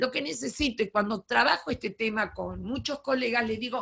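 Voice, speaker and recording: A woman with a bright, sharp tone talks at a fairly slow pace. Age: 70s. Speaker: education lecturer, retired teacher. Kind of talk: lecture.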